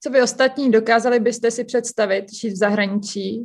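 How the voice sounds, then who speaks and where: Moderate pace and monotone, flat intonation from a woman. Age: 20s. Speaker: university student. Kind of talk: group discussion.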